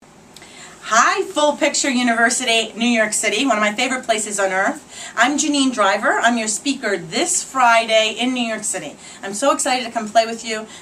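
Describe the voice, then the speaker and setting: Someone with a Boston accent speaks in an animated tone at a moderate pace with ordinary pitch variation, over noticeable background noise. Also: woman, fairly high pitch for a woman. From Boston area, New England. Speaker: body language expert and speaker. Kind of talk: promotional talk and tips to camera.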